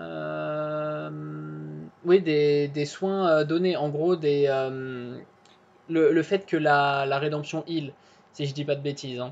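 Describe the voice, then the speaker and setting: A woman speaks with a very deep, low pitch. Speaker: gaming YouTuber. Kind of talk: video commentary. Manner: halting, many fillers. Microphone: poor connection.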